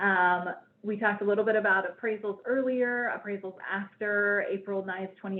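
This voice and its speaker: A woman speaks at a medium pitch. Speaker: bank collateral specialist presenting a webinar. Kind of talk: webinar presentation. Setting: online webinar. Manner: fast.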